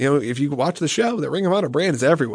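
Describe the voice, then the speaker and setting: A man does the talking. He has an American accent. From US South, Atlanta. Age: 30s. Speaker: TV producer. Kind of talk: casual chat.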